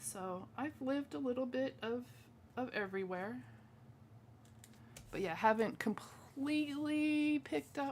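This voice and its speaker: With an American accent, the voice travels across very wide pitch swings at a fairly slow pace. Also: woman. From Washington state, US Pacific Northwest. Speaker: craft demonstrator. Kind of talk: live craft tutorial stream with chat. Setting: home live stream. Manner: casual, chatty with filler words.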